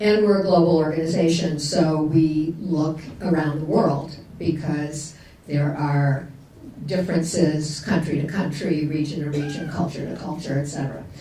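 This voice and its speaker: A woman with a very deep, low pitch speaks at a moderate pace with fairly even intonation. Room echo and noticeable background noise are both audible. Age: 70s. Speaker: retired nonprofit chief executive, panelist. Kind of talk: conference panel discussion. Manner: hesitant, many fillers.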